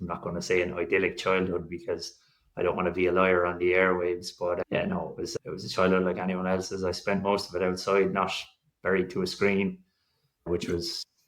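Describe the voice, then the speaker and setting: A man's very deep, low voice with an Irish accent, fairly quick pace, and monotone, flat intonation. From Ireland. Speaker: fertility patient sharing his story. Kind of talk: podcast interview. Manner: casual, rambling with fillers.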